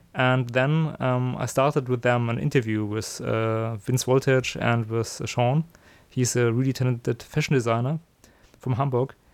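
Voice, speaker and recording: At a moderate pace, a man with a German accent talks at a medium pitch with fairly even intonation. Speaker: podcast host. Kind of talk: casual interview and solo intro. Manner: halting, many fillers.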